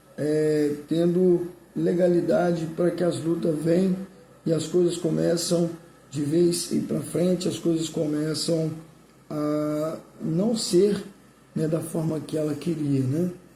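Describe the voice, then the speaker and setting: In a room with audible echo, a man speaks very slowly at a fairly high pitch, his tone dark and mellow and his intonation flat and monotone. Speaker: pastor. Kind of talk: sermon.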